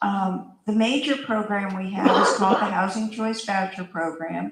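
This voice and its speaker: Her intonation fairly even, a woman moves through her words at a moderate pace. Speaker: housing authority official. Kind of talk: community panel answer. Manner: loud.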